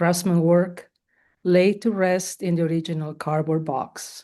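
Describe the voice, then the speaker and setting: Speech in a Spanish accent comes at a fairly slow pace with a dark, mellow tone over a quiet background. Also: woman. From Spain. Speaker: poet. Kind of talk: poetry reading. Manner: halting.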